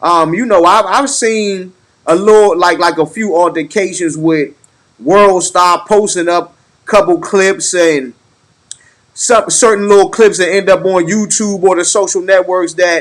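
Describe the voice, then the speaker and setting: A man with a high-pitched voice speaks loudly at a fairly slow pace, with ordinary pitch variation. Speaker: podcast host. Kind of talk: casual chat. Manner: halting.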